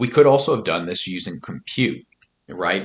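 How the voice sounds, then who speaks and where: A man talks in a normal speaking voice. His pace is fairly quick and his pitch variation is ordinary. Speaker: statistics software tutor. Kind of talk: screen-recorded tutorial. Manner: casual, with fillers.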